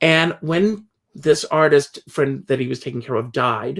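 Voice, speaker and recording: In a very clean recording with a silent background, a man with an American accent uses an ordinary speaking voice, fairly high pitched, with lively intonation. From US South, South Carolina. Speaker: entertainer and interviewer. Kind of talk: casual interview chat.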